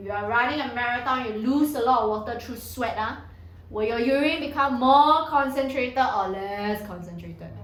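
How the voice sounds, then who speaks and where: A woman with a high pitch speaks in an animated tone with ordinary pitch variation. Noticeable background noise and audible room echo surround her. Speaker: secondary school science tutor. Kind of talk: lecture.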